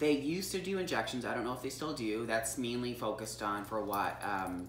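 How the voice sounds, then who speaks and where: A woman with a very deep, low pitch speaks with lively intonation in a room with audible echo. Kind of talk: casual chat. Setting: on a couch at home.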